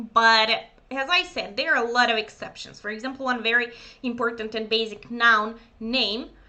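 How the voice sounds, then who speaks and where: A woman speaks with a Serbian accent at a fairly high pitch, with ordinary pitch variation. Her pace is moderate, and audible room echo surrounds the voice. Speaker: German teacher. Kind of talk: lecture. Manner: hesitant, many fillers.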